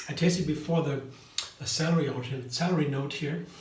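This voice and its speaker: A voice with a German accent talks at a fairly quick pace amid noticeable background noise and audible room echo. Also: man. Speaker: vegan cooking YouTuber. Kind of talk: casual tutorial. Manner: halting.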